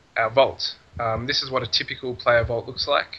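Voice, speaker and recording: A man speaks with an Australian accent, his voice medium in pitch and his intonation fairly even. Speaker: game server admin. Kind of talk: casual game tutorial talk.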